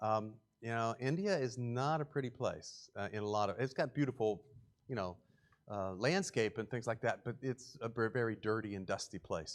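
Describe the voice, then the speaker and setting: A man with a West Virginia accent, medium pitch, ordinary pitch variation, and a moderate pace, over a quiet background. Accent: West Virginia English, speaks it a weird way. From West Virginia, Morgantown area. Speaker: charity presenter. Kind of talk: church presentation with slides. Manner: casual, filler-heavy speech.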